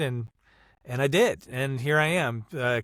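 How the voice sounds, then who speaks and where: In a very clean recording with a silent background and a dry, close sound with no echo, a man talks at a fairly high pitch with fairly even intonation. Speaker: voice actor. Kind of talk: interview answer.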